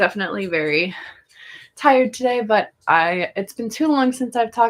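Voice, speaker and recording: At a fairly quick pace, a woman speaks with ordinary pitch variation in a very clean recording with a silent background. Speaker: chronic illness vlogger. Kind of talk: casual live stream chat. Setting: live stream from bed. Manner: low energy.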